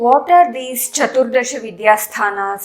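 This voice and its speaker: A woman's fairly high, lively voice at a fairly slow pace, with music in the background. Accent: Indian. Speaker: Sanskrit teacher. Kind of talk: educational lecture.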